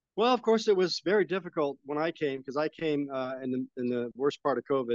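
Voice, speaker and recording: With a plain, everyday voice, a man with an American accent speaks at a fairly quick pace with lively intonation, the sound dry and close with no echo. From Las Vegas, US. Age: 60s. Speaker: retiree expat. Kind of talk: casual interview chat. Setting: outdoors by a pool, remote call.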